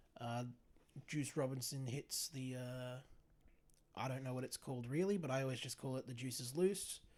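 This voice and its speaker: Speaking with an Australian accent, a man uses a medium pitch, a moderate pace, ordinary pitch variation and long, frequent pauses. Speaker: wrestling podcast co-host. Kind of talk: casual chat.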